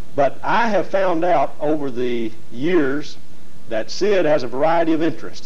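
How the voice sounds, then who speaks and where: A man with lively intonation at a moderate pace. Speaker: TV show host. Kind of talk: show introduction. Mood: friendly, smiling. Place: studio.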